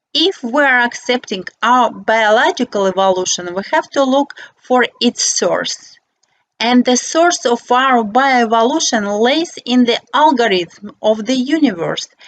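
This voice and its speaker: A woman with a non-native accent, high-pitched and lively in intonation, at a fairly slow pace with very even loudness, in a dry, close sound with no echo. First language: not English. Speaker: architect and philosopher. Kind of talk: reading aloud. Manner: reading from paper.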